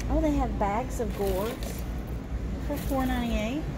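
Loud background noise fills the clip. Through it, a woman talks. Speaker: shopper vlogger. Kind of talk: casual vlog chat. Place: shop. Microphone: phone near.

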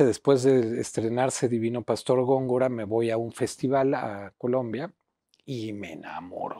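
Speaking at a fairly slow pace with a Mexico City accent, a man has a dark, mellow tone, and the sound is dry with no echo against a quiet background. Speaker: writer and theatre teacher; theatre teacher. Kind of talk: interview. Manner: halting, many fillers. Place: home room. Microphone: lapel.

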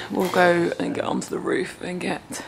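The woman talks at a very slow pace. There is noticeable background noise behind her. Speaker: van life vlogger. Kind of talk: casual vlog chat. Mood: nervous but cheerful. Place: garage. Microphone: phone near.

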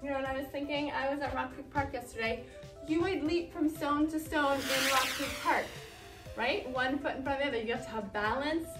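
Clear music plays in the background as a woman talks at a fairly quick pace. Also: ordinary pitch variation. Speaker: movement teacher. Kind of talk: exercise instruction. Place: classroom. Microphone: camera far.

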